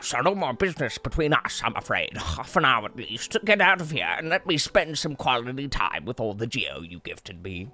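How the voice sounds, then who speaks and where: A man puts on a character voice at a medium pitch, with very wide pitch swings. He keeps a moderate pace with hardly any pauses over light background noise. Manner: haughty, dismissive.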